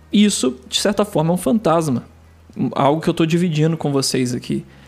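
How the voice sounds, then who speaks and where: Music plays in the background while a man speaks in a calm, relaxed tone at a high pitch. His intonation is lively and his pace moderate. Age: 30s. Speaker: podcast host. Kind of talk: casual monologue.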